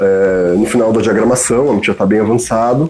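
At a moderate pace, a man speaks with noticeable noise in the background. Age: 40s. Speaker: editor and bookseller. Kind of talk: casual chat. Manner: halting.

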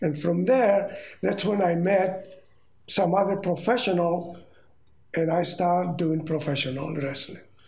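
A man with a Greek accent, high-pitched, with ordinary pitch variation, a fairly slow pace and noticeable background noise. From Rhodes, Greece. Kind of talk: elder telling life story in interview. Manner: slow, halting, reminiscing.

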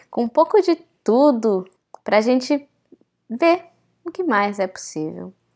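In a very clean recording with a silent background, a woman talks in an animated tone. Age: 20s. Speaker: podcast host, actress and holistic therapist. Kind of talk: solo podcast monologue. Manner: animated, casual.

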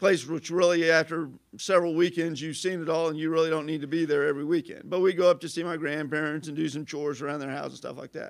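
In a southern Illinois accent, a man talks at a very fast pace with hardly any pauses, his pitch fairly high and his intonation monotone and flat. The recording is very clean, with a silent background. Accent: Midwestern American (southern Illinois). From southern Illinois, Carbondale. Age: 50s. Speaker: local community figure. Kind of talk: casual interview.

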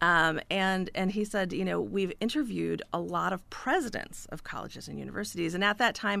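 With an American accent, a woman talks at a fairly quick pace with hardly any pauses on a very clean recording against a silent background. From US Midwest, northern Illinois. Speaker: author. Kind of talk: radio interview. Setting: radio studio.

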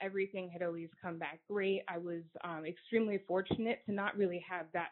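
A woman with a plain, everyday voice, medium pitch, moderate pace, and an American accent. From upstate New York. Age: 20s. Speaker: congenital heart disease patient advocate. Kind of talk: interview.

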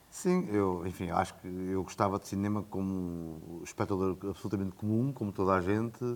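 Fairly even intonation marks the speech of a man whose pitch is very deep and low. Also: moderate pace, hardly any pauses. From Portugal, Coimbra. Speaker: film director and producer. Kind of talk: casual interview. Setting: in person, Coimbra.

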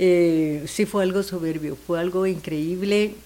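The words come at a fairly slow pace in a monotone, flat intonation. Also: woman. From Guatemala. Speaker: singer. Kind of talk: casual chat.

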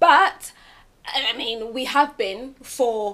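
Here a woman speaks with a British accent. Her voice sits high in pitch. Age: 20s. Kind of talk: casual group chat.

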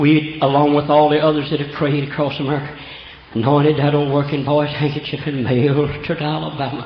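Against noticeable background noise, a man with a Southern US accent talks at a fairly quick pace in a fairly high pitch. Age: 70s. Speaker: preacher. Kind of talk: sermon. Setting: church. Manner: animated.

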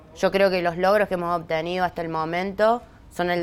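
A woman speaks fairly quickly at a fairly low pitch. Her intonation is monotone and flat. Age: 40s. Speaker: social movement leader. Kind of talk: interview.

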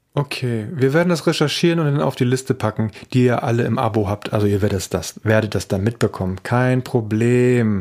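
In a very clean recording with a silent background, a man speaks at medium pitch with ordinary pitch variation. He barely pauses at all. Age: 40s. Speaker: podcast host, father. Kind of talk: casual chat. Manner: animated.

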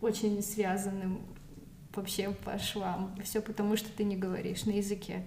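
A woman's medium-pitched, monotone voice with flat intonation at a fairly slow pace, amid audible room echo and noticeable background noise. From Moscow, Russia. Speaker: recent immigrant. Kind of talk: casual interview. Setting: in person at her home.

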